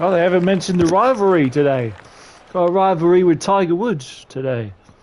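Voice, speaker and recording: Against noticeable background noise, a man talks at a fairly quick pace in a high voice with lively intonation. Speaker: gaming streamer. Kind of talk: gameplay livestream commentary. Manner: energetic.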